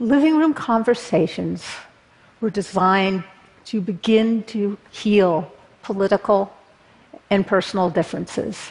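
A woman's somewhat breathy, medium-pitched voice with an American accent, fairly slow with long, frequent pauses and ordinary pitch variation. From Berkeley, California. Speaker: political activist. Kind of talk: talk to an audience.

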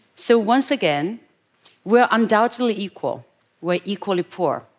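At a moderate pace, a woman with a Chinese accent speaks in a fairly high pitch with lively intonation. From rural China. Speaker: public speaker. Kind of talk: talk to an audience.

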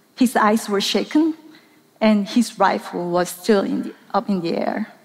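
Speaking in a Korean accent, a woman with a fairly high pitch keeps a moderate pace and ordinary pitch variation. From South Korea. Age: middle-aged. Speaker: documentary journalist. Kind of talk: talk to a live audience. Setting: stage with audience.

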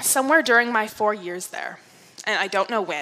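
In a northeastern US accent, the voice has a bright, sharp tone and lively intonation. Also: woman. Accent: American, northeastern. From upstate New York. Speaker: speaker. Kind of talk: public talk.

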